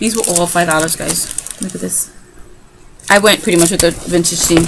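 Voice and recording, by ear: A woman speaks at a fairly low pitch with vocal fry. Her intonation is fairly even and her pace moderate.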